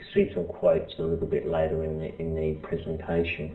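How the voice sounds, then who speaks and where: In an Australian accent, a man talks at a fairly quick pace with audible room echo. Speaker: professor. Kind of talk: lecture. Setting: presentation to small group. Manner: halting, many fillers and restarts.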